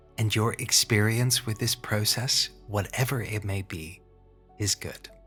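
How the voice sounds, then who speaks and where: Over background music, a man with a fairly low voice talks at a fairly slow pace with fairly even intonation. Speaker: hypnotherapist.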